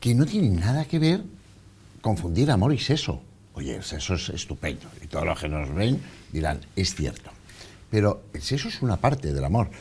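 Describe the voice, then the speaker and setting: With vocal fry and very wide pitch swings, a man at fairly low pitch speaks with long, frequent pauses. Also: moderate pace. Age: 60s. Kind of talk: TV interview.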